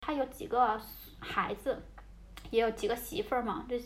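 A woman keeps to a moderate pace while background noise is noticeable behind her. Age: 20s. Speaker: podcast host and social worker. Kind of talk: casual chat. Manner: hesitant, with fillers.

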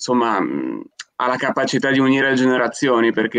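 A man talks at medium pitch in a monotone, flat intonation. The sound is dry and close, with no echo. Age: 20s. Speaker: podcast co-host. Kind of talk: casual chat.

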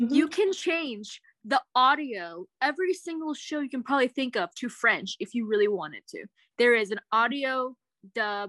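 Fairly quick and fairly high in pitch, a woman with a plain, everyday voice speaks in lively intonation, the sound dry and close with no echo over a quiet background. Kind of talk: casual chat.

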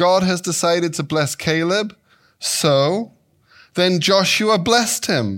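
A man with an English accent talks at a high pitch and a fairly slow pace with lively intonation, on a very clean recording with a silent background. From England, Devon. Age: 50s. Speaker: guest preacher. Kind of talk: sermon. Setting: church.

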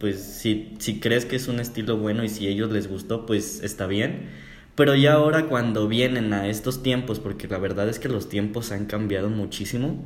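Fairly low male voice at a moderate pace with ordinary pitch variation, hardly any pauses and audible room echo. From Mexico. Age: 20s. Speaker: podcast co-host, psychology student. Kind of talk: casual chat.

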